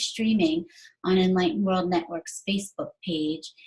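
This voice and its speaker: At a moderate pace, a woman talks in a somewhat breathy medium-pitched voice with ordinary pitch variation. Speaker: live-stream host. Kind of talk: show host introduction.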